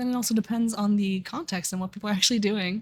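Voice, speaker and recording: The voice is somewhat breathy, moving at a fairly quick pace with fairly even intonation. The recording is very clean, with a silent background. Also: woman. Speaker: streamer. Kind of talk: casual livestream talk.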